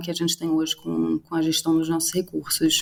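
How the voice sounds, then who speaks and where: With a Swedish accent, a woman speaks at a moderate pace in a fairly low pitch. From Sweden. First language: Swedish (speaking Portuguese). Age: 30s. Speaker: startup cofounder. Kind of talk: interview. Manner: halting, with many fillers and repetitions.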